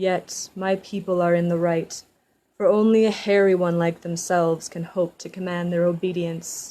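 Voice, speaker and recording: A woman's gruff, put-on character voice, fairly low in pitch, with monotone, flat intonation at a moderate pace. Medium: read story. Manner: gruff, proud.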